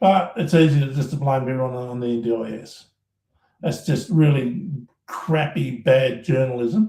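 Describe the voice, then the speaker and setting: The voice is somewhat breathy and dark and mellow in tone, moving at a fairly slow pace with ordinary pitch variation, big swings in loudness and audible room echo. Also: man, medium pitch for a man. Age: 60s. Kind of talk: live stream rant. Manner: animated, repetitive stammering.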